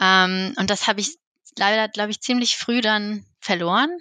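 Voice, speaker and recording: A woman's medium-pitched voice with a bright, sharp tone and fairly even intonation over a quiet background. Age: 30s. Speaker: therapy client. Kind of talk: personal conversation. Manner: hesitant.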